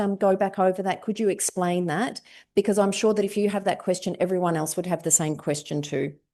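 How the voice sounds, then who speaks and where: Over a quiet background, a woman with an Australian accent talks at a fairly quick pace in a dark, mellow tone. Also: hardly any pauses. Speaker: implementation science researcher. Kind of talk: lecture. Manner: loud, projecting.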